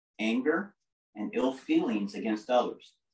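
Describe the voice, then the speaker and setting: Audible room echo surrounds a man's voice against a quiet background. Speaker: lay preacher. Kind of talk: sermon. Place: home room. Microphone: camera far.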